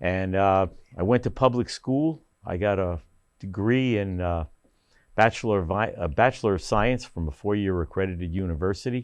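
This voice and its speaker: A man with a New Jersey accent, fairly low in pitch, at a moderate pace with ordinary pitch variation and a quiet background. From northern New Jersey (Paramus). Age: 70s. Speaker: council candidate, retired business owner. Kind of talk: candidate interview. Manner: halting, many fillers.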